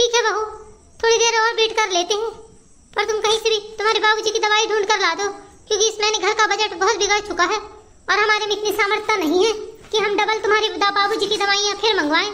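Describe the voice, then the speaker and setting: Very fast and monotone with flat intonation, a woman performs a cartoonish character voice at an extremely high pitch. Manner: careful, conciliatory.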